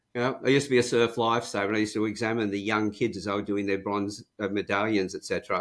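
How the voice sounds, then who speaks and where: A man with an Australian accent, fairly low in pitch, talking very fast with hardly any pauses and fairly even intonation on a very clean recording with a silent background. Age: 70s. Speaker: profiling and communications trainer. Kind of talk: interview.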